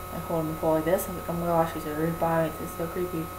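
A woman speaks at a fairly low pitch, with clear background noise behind her.

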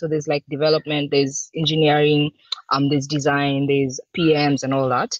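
In a dry recording with no echo and a quiet background, a woman talks at a fairly quick pace with a very deep, low pitch. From Kenya. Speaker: UX design manager; presenter. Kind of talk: conference talk. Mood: relaxed, informal. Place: home room. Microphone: webcam.

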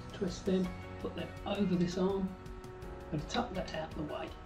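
A high-pitched man at a fairly slow pace and with fairly even intonation, clear music in the background. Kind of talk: tutorial. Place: home room. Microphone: camera far.

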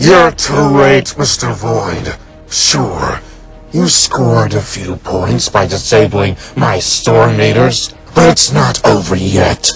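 Over clear music in the background, a man does a put-on character voice. It is raspy and fairly low, delivered at a fairly slow pace. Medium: audio drama. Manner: commanding, irritable.

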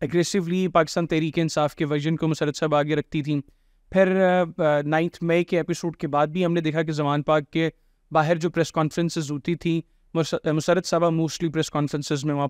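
Monotone, flat intonation at a moderate pace, with a dry sound with no echo and a quiet background. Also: man, fairly high pitch for a man. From Pakistan. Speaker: podcast host. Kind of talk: interview. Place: studio. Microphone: studio mic.

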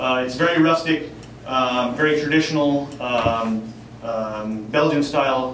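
A man speaks with fairly even intonation. Audible room echo and light background noise are present. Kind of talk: informal presentation to audience. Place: bar.

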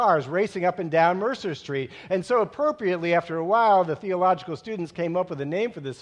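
The plain reading aloud shows ordinary pitch variation.

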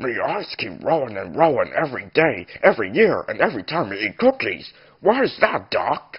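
Using a put-on character voice, the man pitches his speech fairly high. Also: moderate pace. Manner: simple, clipped grammar.

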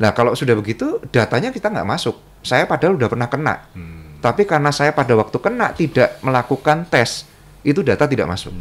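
A man's fairly high voice with vocal fry, very wide pitch swings and a very fast pace. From Central Java, Indonesia (Sukoharjo). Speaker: businessman and community organization official. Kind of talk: interview conversation.

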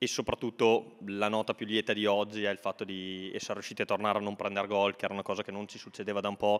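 Against a quiet background, a man with a fairly low pitch races along at a very fast pace in a monotone, flat intonation with hardly any pauses. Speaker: football coach. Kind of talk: post-match interview. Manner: hesitant, repeats words. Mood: calm, satisfied. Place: home room. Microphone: handheld.

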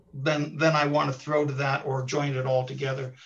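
A man speaks at a moderate pace in a fairly high, monotone voice with flat intonation. The background is quiet. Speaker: radio host. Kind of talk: casual chat. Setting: video call. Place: home room. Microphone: video call.

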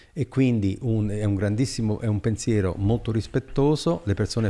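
Speaking at a fairly slow pace, a man has a dark, mellow tone. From Italy, Abruzzo. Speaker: economic development consultant; podcast guest. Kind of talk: long-form interview. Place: studio. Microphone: studio mic.

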